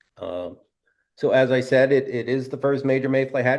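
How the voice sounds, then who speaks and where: A man is talking. His delivery is neither fast nor slow. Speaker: fly fishing guide. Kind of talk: webinar presentation. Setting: live webinar.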